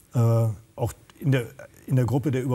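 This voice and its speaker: A man's monotone, flat delivery over faint background music. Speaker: social worker and drug counselor. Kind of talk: panel discussion. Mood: earnest, engaged. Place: studio. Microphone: lapel.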